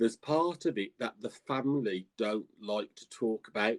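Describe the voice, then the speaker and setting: The sound is dry and close, with no echo. A man with a Birmingham accent speaks with lively intonation. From England, Birmingham. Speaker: psychic and tarot reader. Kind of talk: interview. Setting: live stream. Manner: halting.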